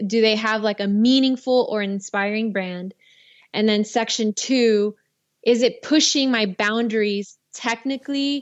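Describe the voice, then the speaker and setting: A woman with a plain, everyday voice talks at a fairly slow pace. Her pitch is fairly high, with ordinary pitch variation. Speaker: filmmaker and director. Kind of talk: casual interview.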